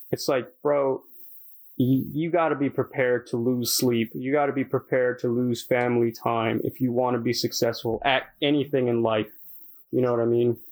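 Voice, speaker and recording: A man talks in a plain, everyday voice at a medium pitch and moderate pace, with fairly even intonation and very even loudness. The recording is very clean, with a silent background. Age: 20s. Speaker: podcast co-host, aspiring rapper. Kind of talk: casual chat.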